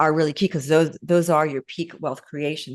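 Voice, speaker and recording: A woman speaks with fairly even intonation in a dry, close sound with no echo, over a quiet background. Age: 60s. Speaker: consultant and business founder. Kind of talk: interview. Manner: halting.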